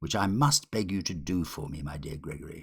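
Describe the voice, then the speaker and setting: A growling, put-on character voice runs at a fairly quick pace with ordinary pitch variation. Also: man. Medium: read story. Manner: refined, gentlemanly.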